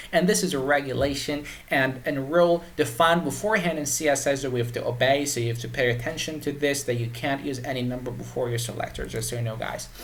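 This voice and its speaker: With noticeable background noise and audible room echo, a man with a Persian accent talks at a very fast pace with hardly any pauses. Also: fairly high pitch for a man, ordinary pitch variation. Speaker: web development tutor. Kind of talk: tutorial. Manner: halting, many repetitions and fillers.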